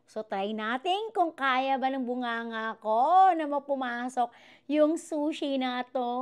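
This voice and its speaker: Over a quiet background, the speaker has an animated tone and lively intonation. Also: woman. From Philippines. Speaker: vlogger. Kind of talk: casual mukbang vlog. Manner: animated, laughing often. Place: kitchen. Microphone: new wireless clip mic; lapel.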